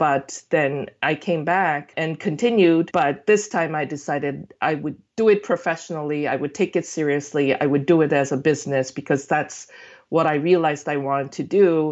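Using a very deep, low voice with ordinary pitch variation, a woman with a Korean accent speaks at a moderate pace. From South Korea. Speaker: food blogger. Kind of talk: casual interview chat.

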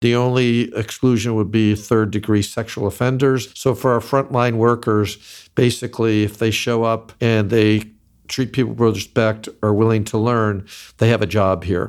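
Very clean, with a silent background, the recording has a medium-pitched man speaking at a moderate pace in a monotone, flat intonation and very even loudness. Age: 60s. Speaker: company founder and president. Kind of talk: interview conversation.

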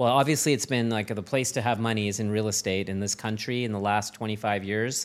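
In a Canadian accent, a man talks very fast at a fairly low pitch, his intonation fairly even and his pauses hardly there. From Canada, moved around West and Maritimes. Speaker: tech accelerator managing director and investor. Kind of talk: interview conversation.

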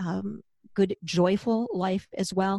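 Over a quiet background, a woman with a plain, everyday voice talks with fairly even intonation in a dry, close sound with no echo. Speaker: podcast host, former vet tech, author. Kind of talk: casual chat.

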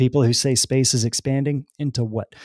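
With an American accent, a man speaks at a medium pitch in a dark, mellow tone, his intonation fairly even and the sound dry and close with no echo. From Texas, small town. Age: 40s. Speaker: spiritual speaker. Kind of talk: casual chat.

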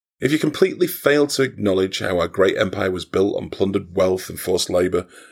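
Recorded very cleanly against a silent background, a man with a British accent talks at a fairly quick pace. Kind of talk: comic character sketch, satirical argument with the host. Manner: sarcastic, irritable, fed up, combative.

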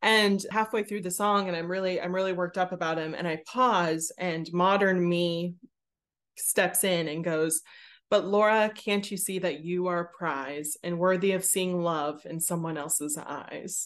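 A normal speaking voice with fairly even intonation over a quiet background. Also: woman, fairly low pitch for a woman. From Pittsburgh, US. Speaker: theatre creator and performer. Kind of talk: interview.

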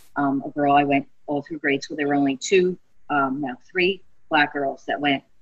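In a South Philly accent, a woman with a very deep, low pitch talks at a moderate pace with fairly even intonation. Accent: South Philly accent, mild. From South Philly, US. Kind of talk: casual chat, podcast interview.

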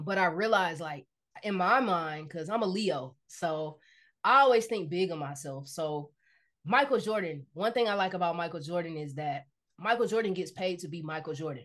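A woman with a fairly low pitch and lively intonation, against a quiet background. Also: moderate pace. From US South, Decatur, Georgia. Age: 30s. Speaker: drummer and army veteran. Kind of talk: casual interview. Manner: animated.

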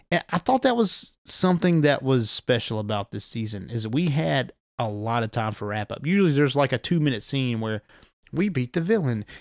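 A man speaks with a Southern US accent, his pitch swinging very widely. The recording is very clean, dry and close, with a silent background and no echo. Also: medium pitch for a man, fairly quick pace. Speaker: podcast host. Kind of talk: casual chat.

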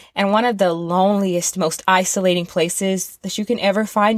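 A woman's plain, everyday voice at a medium pitch, with an American accent, a fairly quick pace and fairly even intonation, in a very clean recording with a silent background. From US South. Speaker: music podcast host, former rock music journalist. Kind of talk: casual monologue podcast.

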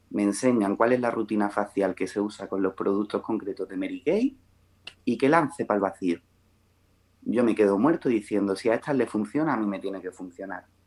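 With a normal speaking voice, a man talks at a fairly quick pace, his fairly low pitch showing ordinary variation. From Melilla, Spain. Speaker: makeup artist and beauty consultant. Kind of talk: podcast interview.

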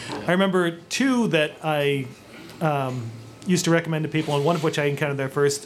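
Very fast speech from a man with an American accent, fairly high in pitch, with ordinary pitch variation over noticeable background noise. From Lynn, Massachusetts. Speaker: former video store clerk. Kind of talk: live podcast panel chat. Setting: stage with audience.

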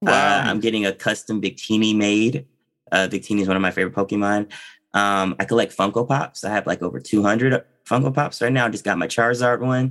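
A man speaks at a fairly quick pace with ordinary pitch variation. His pitch sits fairly low. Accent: American. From Kentucky, US. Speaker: voice actor. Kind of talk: casual chat. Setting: video call. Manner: soft-spoken.

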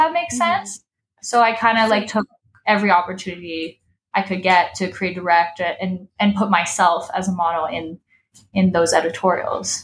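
The woman's pitch moves in an ordinary way as she talks fairly fast. Some breathiness comes through in her voice. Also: medium pitch for a woman. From Paris, France. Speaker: filmmaker and photographer. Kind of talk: casual interview chat.

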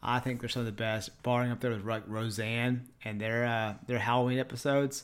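Speaking at a fairly quick pace, a man with an East Texas accent is heard in a very clean recording with a silent background. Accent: deep East Texas. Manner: casual, friendly.

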